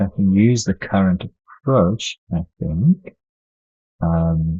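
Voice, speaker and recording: A man mumbles at a very slow pace, his voice somewhat breathy. His pitch is very deep and low. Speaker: game developer streamer. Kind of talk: live coding stream. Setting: live stream. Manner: mumbling; halting.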